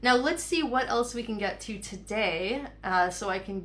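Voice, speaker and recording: Noticeable background noise and audible room echo surround the speaker. She is a woman with a medium pitch and ordinary pitch variation. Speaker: counseling psychologist and program founder leading a webinar. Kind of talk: webinar presentation. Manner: fast.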